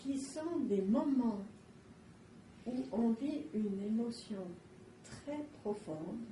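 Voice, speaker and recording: A woman's fairly high-pitched voice with lively intonation at a very slow pace, broken by long, frequent pauses, amid audible room echo and noticeable background noise. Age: 70s. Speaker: psychoanalyst. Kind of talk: interview.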